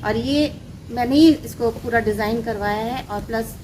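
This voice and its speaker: A woman with a Bengali accent speaks at a fairly high pitch over noticeable background noise. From Ranchi, Jharkhand, India. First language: Bengali (speaking Hindi). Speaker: author. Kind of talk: interview.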